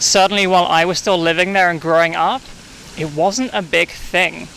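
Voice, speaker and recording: A man with a high pitch talks in a fairly even intonation over noticeable background noise. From England, east London. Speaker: coffee shop manager. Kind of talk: casual interview.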